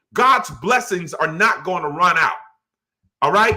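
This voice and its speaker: A man is shouting in a raised, projected voice with an animated, bright, sharp tone. His intonation is lively and his pace moderate. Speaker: pastor. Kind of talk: bible study teaching. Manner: loud, yelling.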